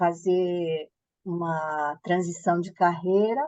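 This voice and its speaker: A woman with a fairly low pitch talks very slowly, keeping a fairly even intonation. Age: 60s. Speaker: author and former fashion entrepreneur. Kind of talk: interview.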